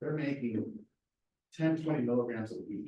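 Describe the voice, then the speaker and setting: Audible room echo surrounds a man whose fairly high voice has a dark, mellow tone and ordinary pitch variation. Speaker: research scientist, seminar speaker. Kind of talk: lecture; Q&A answer. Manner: fast.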